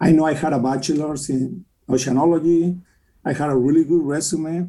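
Speaking at a fairly quick pace, a man with a Mexican accent has a dark, mellow tone. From Mexico City. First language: Spanish. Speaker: mortgage company president and philanthropist. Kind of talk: interview.

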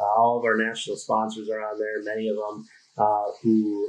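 A man with a Minnesota accent speaks at a moderate pace. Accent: Upper Midwest (Minnesota) American. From Minnesota (Duluth). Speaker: conservation group PR manager. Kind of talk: casual interview. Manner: halting, many fillers and repeats.

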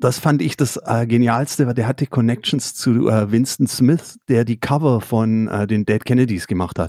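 With a slight Swabian accent, the voice moves at a moderate pace with a dark, mellow tone and ordinary pitch variation, dry and close with no echo on a very clean recording against a silent background. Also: man. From Swabia, Swabian Jura. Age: 50s. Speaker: record label owner and musician. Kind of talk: casual interview. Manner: hesitant.

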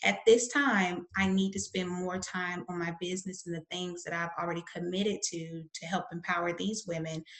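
A woman with a Southern US accent talks at a moderate pace with hardly any pauses. Her pitch is fairly low and her intonation fairly even. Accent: Southern American. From US South. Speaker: publisher and author. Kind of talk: interview.

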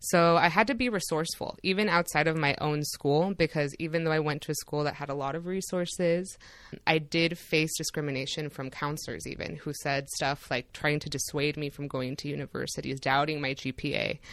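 Over a quiet background, a woman with a very deep, low pitch talks at a fairly quick pace with hardly any pauses and ordinary pitch variation. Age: 30s. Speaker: immigration attorney and law professor. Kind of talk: interview.

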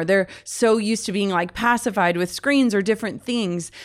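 Over a silent background in a very clean recording, a woman with an American accent speaks at a fairly quick pace, at medium pitch with ordinary pitch variation. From US Midwest, Minnesota. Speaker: author and podcast host. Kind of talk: interview conversation.

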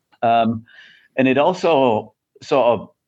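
The speaker talks with an English accent and ordinary pitch variation against a quiet background. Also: man. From England. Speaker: tech company CEO. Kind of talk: interview.

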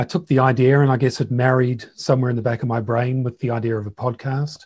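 Somewhat breathy, a man talks at a fairly quick pace in a monotone, flat delivery. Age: 50s. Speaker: entrepreneur and podcast host. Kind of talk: interview conversation.

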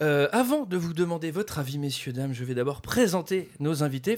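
Over a silent background in a very clean recording, a man talks at a very fast pace with a fairly high pitch and lively intonation. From France, Paris. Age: 30s. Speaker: podcast host. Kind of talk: casual chat.

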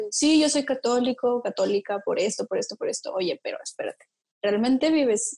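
Recorded dry and close with no echo, a woman talks at a moderate pace. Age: 20s. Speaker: engineer. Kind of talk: casual chat.

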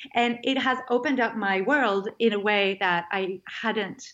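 A woman speaks in a fairly high pitch. She talks with a French accent. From France. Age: 30s. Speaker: food writer and life coach. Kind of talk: interview conversation.

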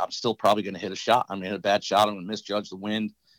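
A man with an American accent speaks at a fairly low pitch in a monotone, flat intonation, with a dry, close sound with no echo and a very clean recording with a silent background. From Buffalo, New York. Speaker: golf coach and former tour pro. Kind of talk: casual interview.

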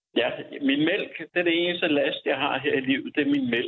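At a moderate pace, a man is talking. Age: 60s. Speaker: unemployed IT developer facing eviction. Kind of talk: interview. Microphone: echo in empty room.

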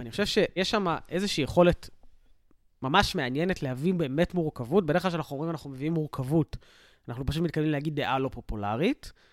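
A man speaks at a very fast pace with ordinary pitch variation. The recording is very clean, with a silent background. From Israel, south (Sderot). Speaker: reservist soldier and social worker. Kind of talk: casual chat.

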